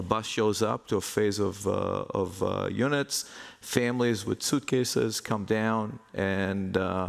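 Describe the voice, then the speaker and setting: A man with an Israeli accent speaks at a fairly slow pace and a fairly low pitch. His pitch variation is ordinary and his loudness very even. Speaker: real estate investment executive. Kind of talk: conference panel talk.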